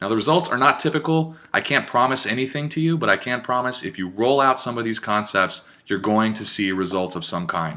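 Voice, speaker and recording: A man talks at a very fast clip with lively intonation. His tone is bright and sharp. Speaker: digital marketer. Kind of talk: webinar presentation. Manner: animated.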